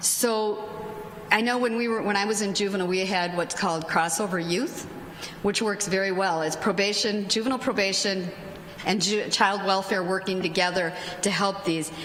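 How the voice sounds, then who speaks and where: Audible room echo and noticeable background noise surround a woman speaking at a medium pitch with fairly even intonation. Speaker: judge and conference panelist. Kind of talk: conference talk. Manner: fast.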